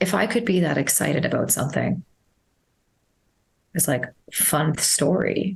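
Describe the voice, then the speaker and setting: A woman with a fairly low pitch talks at a moderate pace with lively intonation, very even loudness, and long, frequent pauses. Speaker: nutritionist and mindset coach. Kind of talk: casual podcast interview. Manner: loud, projecting; animated, passionate.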